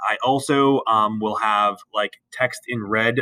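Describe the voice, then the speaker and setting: The speaker is a man with a medium pitch. His intonation is fairly even. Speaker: biology teacher. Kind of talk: tutorial. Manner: fast; halting.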